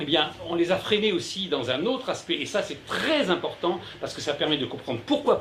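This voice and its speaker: A man speaks at a fairly quick pace amid noticeable background noise and audible room echo. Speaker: journalist and essayist giving a talk. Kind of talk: conference lecture. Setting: conference room with live audience. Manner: loud; hesitant, many fillers and repetitions.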